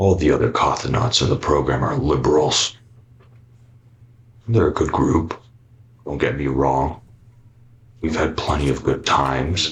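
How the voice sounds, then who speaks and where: At a moderate pace, a man puts on a character voice with a very deep, low pitch. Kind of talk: analog horror voice-over. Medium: voice reel. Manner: grave, confessional monologue.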